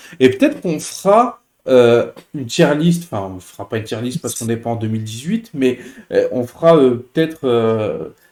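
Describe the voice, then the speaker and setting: With lively intonation and big swings in loudness, a man speaks at a moderate pace and a medium pitch. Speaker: football YouTuber. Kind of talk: casual chat. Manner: hesitant, many fillers.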